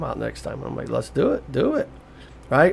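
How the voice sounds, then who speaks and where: A man talks at a moderate pace. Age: 60s. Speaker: psychic medium and podcaster. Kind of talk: casual motivational monologue. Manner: conversational with frequent fillers and repetitions.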